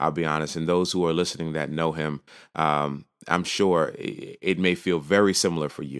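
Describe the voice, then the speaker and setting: A man with a very deep, low pitch and an American accent, fairly even intonation and a moderate pace, on a very clean recording with a silent background. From New York. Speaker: podcast host. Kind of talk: casual solo podcast talk.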